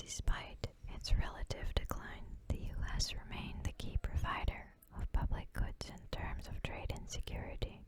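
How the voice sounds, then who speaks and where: The voice is whispering. The pace is moderate. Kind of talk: ASMR reading of political text. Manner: whispered.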